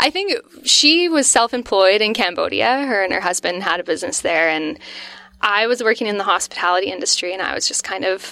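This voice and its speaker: A woman of medium pitch with a Canadian accent, bright, sharp tone, fairly quick pace and very wide pitch swings. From Northwestern Ontario, Canada (Vermilion Bay). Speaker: pizza restaurant co-owner. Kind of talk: casual interview chat.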